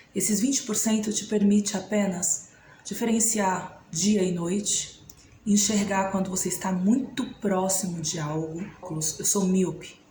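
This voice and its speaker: There is audible room echo and noticeable background noise behind this woman. Her medium-pitched voice keeps a fairly even intonation. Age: 30s. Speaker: vlogger. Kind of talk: personal testimony.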